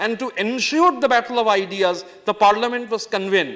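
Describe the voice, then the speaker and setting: A man with a Bengali accent speaks fairly quickly at a high pitch, his pitch variation ordinary. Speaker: member of parliament. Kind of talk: parliamentary speech. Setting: parliament chamber. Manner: formal.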